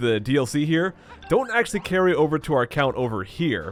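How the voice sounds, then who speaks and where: A man speaks at a fairly quick pace, his pitch swinging very widely. Music plays in the background. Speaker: let's play commentator. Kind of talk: video game walkthrough commentary.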